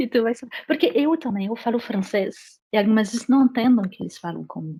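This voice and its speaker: A woman's fairly high, lively voice at a fairly quick pace, with big swings in loudness. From France. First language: French (speaking Portuguese). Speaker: French teacher and immigration paralegal. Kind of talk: interview.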